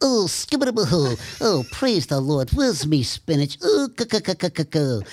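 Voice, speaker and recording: This put-on character voice sits at a middle pitch. Its pitch swings very widely. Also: moderate pace. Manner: comic, cartoonish.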